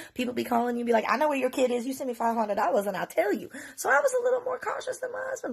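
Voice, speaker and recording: A woman's high-pitched, animated voice at a very fast pace, with very wide pitch swings and noticeable background noise. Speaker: mother telling her story on social media. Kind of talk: story time monologue.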